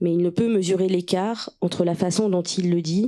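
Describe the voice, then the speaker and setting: A woman with a fairly low pitch speaks at a moderate pace, keeping her intonation fairly even. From Russia (Moscow), then France in childhood. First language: Russian (speaking French). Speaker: writer and translator. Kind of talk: reading aloud.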